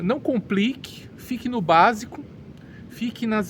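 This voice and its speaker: A man speaks with a Brazilian accent. His pace is very slow. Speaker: English teacher. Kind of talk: educational monologue. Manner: halting, with repeated words.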